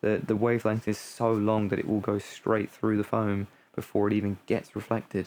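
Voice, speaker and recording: A man talks with fairly even intonation, his pitch fairly low and his pace moderate. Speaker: music hobbyist streamer. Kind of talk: casual vlog tutorial. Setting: home studio room. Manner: rambling, many fillers.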